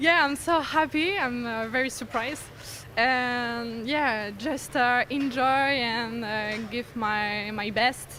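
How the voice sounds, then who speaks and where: A woman with a French accent speaks at a very slow pace and a high pitch, with ordinary pitch variation. Noticeable background noise is present. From France. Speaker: racing driver. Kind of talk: interview. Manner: halting.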